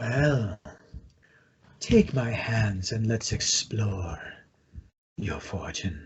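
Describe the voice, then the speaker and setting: A man uses a put-on character voice at medium pitch. He goes at a very slow pace with long, frequent pauses. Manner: creepy.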